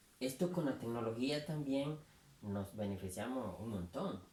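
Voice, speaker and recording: Noticeable background noise beneath a fairly slow delivery. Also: man. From Nicaragua. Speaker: writer and columnist. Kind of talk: interview host talk.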